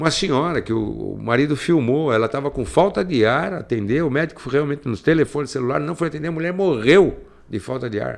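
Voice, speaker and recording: A fairly high-pitched man with vocal fry, ordinary pitch variation, a fairly quick pace and hardly any pauses. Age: 60s. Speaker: radio host. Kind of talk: commentary. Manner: halting.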